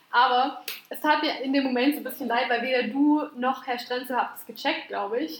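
Over noticeable background noise, a woman speaks with a high pitch and fairly even intonation, her loudness swinging widely. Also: moderate pace. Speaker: podcast co-host. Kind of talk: casual chat.

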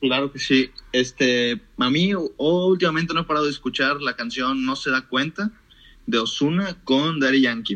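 The voice has a bright, sharp tone. It moves at a moderate pace with ordinary pitch variation. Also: man, fairly high pitch for a man. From Mexico, moved between several cities (Mérida, Monterrey, Guadalajara). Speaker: economics student. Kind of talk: casual chat.

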